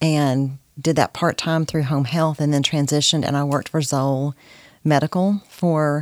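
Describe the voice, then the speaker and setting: Speaking in a Texan accent at a moderate pace, a woman uses a very deep, low pitch and a flat, monotone delivery. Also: dry, close sound with no echo. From Texas (Corsicana). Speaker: guest, mother and grandmother. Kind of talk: casual faith interview.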